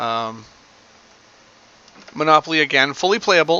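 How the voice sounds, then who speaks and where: The speaking pace is moderate, and noticeable noise runs in the background. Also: man. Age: adult. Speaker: gaming video creator. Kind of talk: gameplay commentary. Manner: hesitant, many fillers.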